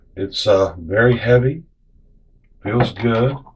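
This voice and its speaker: Here a man talks at a medium pitch with ordinary variation. His voice is somewhat breathy. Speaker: ammunition reloading reviewer. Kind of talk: casual product review to camera. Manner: hesitant, many fillers.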